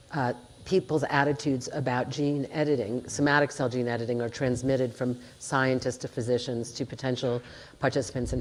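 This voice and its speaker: A woman with an American accent and a very deep, low pitch, speaking at a fairly quick pace with fairly even intonation. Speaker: bioethics professor and psychiatrist. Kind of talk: panel discussion.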